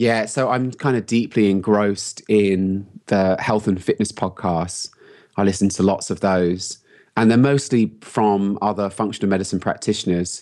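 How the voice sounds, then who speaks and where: In a London accent, a man speaks at a moderate pace in a fairly low pitch with fairly even intonation, on a very clean recording with a silent background. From London, England. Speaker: health coach and entrepreneur. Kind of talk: interview. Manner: casual, laughs often.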